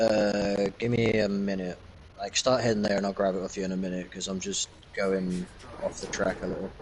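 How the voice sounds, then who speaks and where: Someone speaks in an English accent at a fairly quick pace with monotone, flat intonation over noticeable background noise. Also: man, fairly low pitch for a man. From England. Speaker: gamer podcaster. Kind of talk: casual chat.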